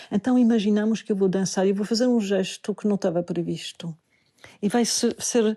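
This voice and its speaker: A woman with a dark, mellow tone speaks at a medium pitch and moderate pace, her intonation fairly even and her loudness very even, in a dry, close sound with no echo against a quiet background. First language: not Portuguese (speaking Portuguese). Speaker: Buddhist teacher and dancer. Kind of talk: podcast talk, spiritual teaching.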